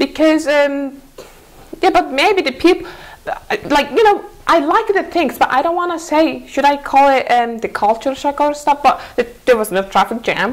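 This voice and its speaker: Speaking with a Mongolian accent, a woman uses a high pitch and lively intonation. Her pace is moderate. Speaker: former student abroad. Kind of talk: TV interview. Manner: halting.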